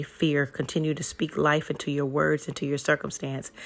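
Talking at a fairly quick pace, a woman uses a very deep, low pitch and monotone, flat intonation. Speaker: inspirational podcast host. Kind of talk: fervent spoken prayer and faith-filled encouragement, declaring blessings over listeners. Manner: urgent, emphatic exhortation with repeated declarations.

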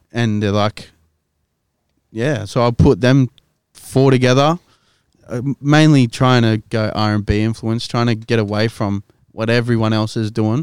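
A Sydney accent at a fairly slow pace, with long, frequent pauses, fairly even intonation, and a dry, close sound with no echo. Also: man, medium pitch for a man. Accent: Australian (Western Sydney). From Western Sydney, Australia. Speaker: rapper. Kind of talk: casual chat.

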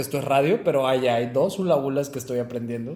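This man's voice sits fairly high and has fairly even intonation. Noticeable background noise is present. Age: 20s. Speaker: podcast co-host, mechatronics engineer. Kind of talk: casual chat.

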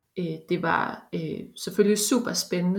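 A woman talks at a very slow pace in a somewhat breathy voice. Her pitch sits in the middle and her intonation stays fairly even. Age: 30s. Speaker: bioinformatics researcher. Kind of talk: interview. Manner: halting, many fillers.

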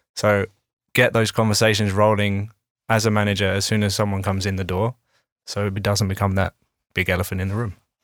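Over a very clean recording with a silent background, a man talks at a fairly low pitch and a fairly quick pace, his intonation monotone and flat, with long, frequent pauses. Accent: British. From UK. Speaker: people and HR consultant. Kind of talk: casual panel discussion. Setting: studio.

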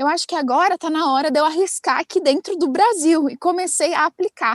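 Speech moves at a moderate pace with ordinary pitch variation. The sound is dry and close, with no echo. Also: woman. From Brazil, interior of São Paulo state. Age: 20s. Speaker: TV reporter. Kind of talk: casual interview chat.

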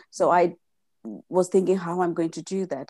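A woman with an Indian accent speaks in a dark, mellow tone. The background is quiet. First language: Gujarati. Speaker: mindset coach. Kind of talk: interview. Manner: halting.

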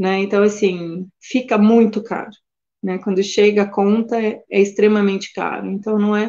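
Speaking at a moderate pace, a woman delivers a dark, mellow tone with monotone, flat intonation. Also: medium pitch for a woman. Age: 40s. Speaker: animal sanctuary keeper. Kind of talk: interview. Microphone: connection briefly dropped.

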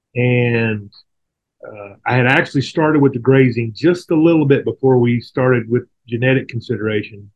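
A man with a Texan accent, medium pitch, ordinary pitch variation and a moderate pace. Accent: Texas Southern American. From Texas, near Houston. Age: 40s. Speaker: rancher. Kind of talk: casual interview.

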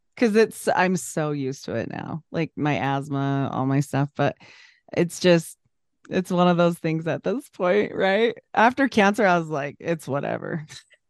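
Using a plain, everyday voice, a woman speaks at a moderate pace with a fairly low pitch and lively intonation, in a dry, close sound with no echo over a quiet background. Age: 40s. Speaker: podcaster. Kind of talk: casual chat.

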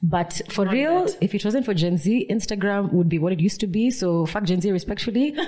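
Against noticeable background noise, a woman talks very fast with hardly any pauses, ordinary pitch variation, and very even loudness. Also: medium pitch for a woman. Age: 30s. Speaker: podcast host. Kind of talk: casual chat. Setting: studio.

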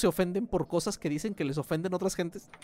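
A man speaks with a Mexican accent. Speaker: podcast host. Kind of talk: casual chat.

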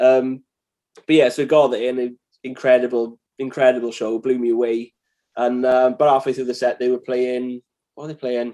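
Long, frequent pauses break up a man's moderate-paced speech, his medium-pitched voice dark and mellow in tone and his intonation monotone and flat. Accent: Welsh. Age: 30s. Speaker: musician. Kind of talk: casual chat.

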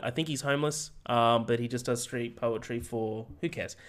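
Talking at a fairly quick pace, a man uses a normal speaking voice with fairly even intonation. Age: 20s. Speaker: movie podcast co-host. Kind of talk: casual chat. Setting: video call.

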